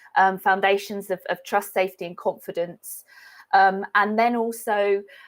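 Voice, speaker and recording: In a British accent, a woman talks at a medium pitch with monotone, flat intonation. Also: moderate pace. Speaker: animal behaviourist. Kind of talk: webinar lecture. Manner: halting with many fillers.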